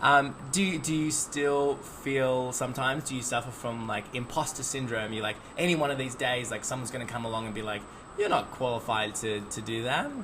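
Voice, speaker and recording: A man's medium-pitched voice with ordinary pitch variation amid noticeable background noise. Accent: Australian. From Australia. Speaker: podcast host, bartender. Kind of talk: casual chat. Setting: video podcast interview.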